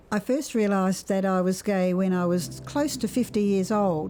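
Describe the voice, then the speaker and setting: Over music in the background, a woman talks at a moderate pace in a fairly low pitch. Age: 80s+. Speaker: minister. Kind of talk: interview testimony.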